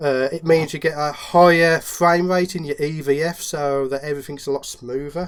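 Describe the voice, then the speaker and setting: Speaking at a moderate pace with a Midlands accent, a man uses a fairly high pitch and a monotone, flat intonation. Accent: Midlands English, noticeable. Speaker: macro photographer and YouTuber. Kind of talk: casual interview chat.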